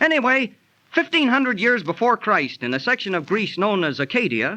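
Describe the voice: A man performs a put-on character voice at a high pitch, with a bright, sharp tone. His pitch swings widely at a moderate pace.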